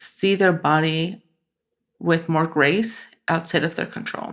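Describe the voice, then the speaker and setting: With a slight Spanish accent, the speech comes through on a very clean recording with a silent background. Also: woman. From Mexican-born, raised in the US. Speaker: photographer. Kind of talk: podcast interview.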